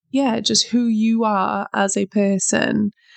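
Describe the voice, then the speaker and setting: Speaking at a very slow pace with a British accent, a woman is heard in dry, close sound with no echo over a quiet background. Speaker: self-help podcast host. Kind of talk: motivational monologue.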